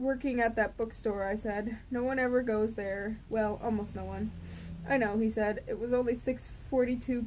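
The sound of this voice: A reading voice that is unforced.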